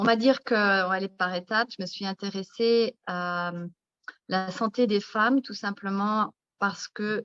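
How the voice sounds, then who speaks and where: In an ordinary speaking voice at a medium pitch, a woman speaks at a fairly slow pace against a quiet background, with a dry, close sound with no echo. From France, countryside. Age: 50s. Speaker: naturopath and author. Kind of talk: interview. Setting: live video stream.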